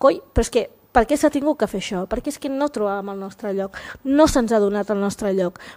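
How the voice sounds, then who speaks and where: Over a quiet background, a woman talks at a fairly quick pace with a fairly high pitch. Her tone is dark and mellow, and her intonation lively. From Catalonia, of Equatorial Guinean descent. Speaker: visual artist and activist; panelist. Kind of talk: panel discussion. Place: hall. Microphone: podium.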